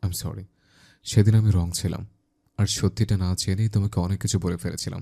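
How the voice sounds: The intonation is fairly even in a natural reading voice set against a quiet background.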